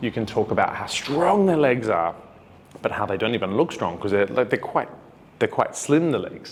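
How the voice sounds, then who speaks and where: Speaking with an Australian accent, a man talks at a fairly quick pace in a medium pitch with very wide pitch swings. Background noise is noticeable. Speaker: dance teacher. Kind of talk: tutorial. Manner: casual, conversational.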